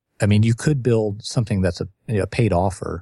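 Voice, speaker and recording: In a very clean recording with a silent background, a dark, mellow voice with ordinary pitch variation sounds dry and close, with no echo. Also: man. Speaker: author and marketing consultant. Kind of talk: casual podcast interview.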